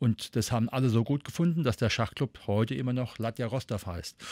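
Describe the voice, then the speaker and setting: With a dry, close sound, no echo, and a very clean recording on a silent background, a man uses a normal speaking voice at medium pitch and a fairly quick pace. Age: 50s. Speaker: educator and volunteer prevention trainer. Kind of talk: interview.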